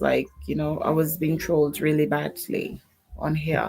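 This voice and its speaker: With music in the background, a woman speaks in a soft-spoken, calm tone. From Jamaica. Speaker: YouTube creator. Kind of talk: casual chat.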